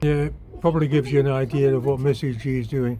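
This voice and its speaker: In a British accent, a man speaks with a dark, mellow, somewhat breathy tone and fairly even intonation. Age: 80s+. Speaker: DIY vlogger. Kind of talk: casual vlog narration. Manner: relaxed, conversational.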